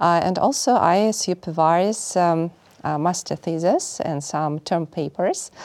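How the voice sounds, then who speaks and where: Very slow speech from a woman in a fairly low pitch with a Russian accent, in a very clean recording with a silent background. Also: ordinary pitch variation. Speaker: finance professor. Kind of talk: interview.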